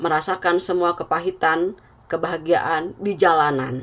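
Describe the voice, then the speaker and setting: At a fairly slow pace, a woman talks with a fairly low pitch. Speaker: tarot reader. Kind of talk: tarot reading.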